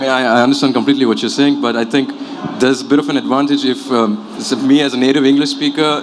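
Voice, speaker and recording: A man rattles off his words very fast, with noticeable background noise and audible echo from the room. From Qatar and Abu Dhabi. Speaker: newcomer interviewee. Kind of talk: panel interview.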